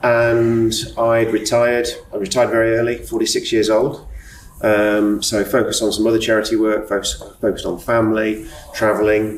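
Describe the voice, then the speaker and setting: At a moderate pace, the speech comes through audible room echo and noticeable background noise. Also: man. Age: 60s. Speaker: retired businessman sharing OCD experience. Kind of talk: podcast interview, personal testimony. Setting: hotel bar.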